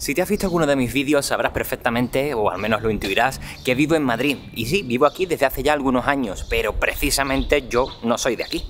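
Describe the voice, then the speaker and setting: Music plays behind a man talking at a very fast pace with hardly any pauses, in an Andalusian accent. His pitch is medium with ordinary variation. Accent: Andalusian (Cádiz). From southern Spain, Cádiz. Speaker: tech vlogger. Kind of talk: vlog product review. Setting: outdoors walking, then cafe. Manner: animated.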